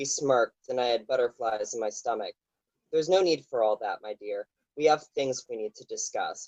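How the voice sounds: Quiet surroundings and a natural reading voice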